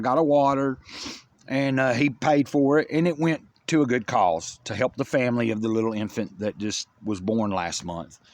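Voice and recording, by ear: A man talks at a moderate pace in a medium pitch, with ordinary pitch variation.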